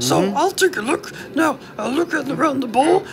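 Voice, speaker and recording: Clear background noise sits behind a cartoonish character voice. The pace is moderate. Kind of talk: comic overacting. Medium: puppet show. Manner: fussy, defensive, exasperated.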